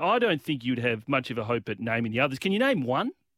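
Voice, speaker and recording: This man has lively intonation. His accent is Australian. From Western Australia, Perth. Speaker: American sports commentator. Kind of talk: casual chat.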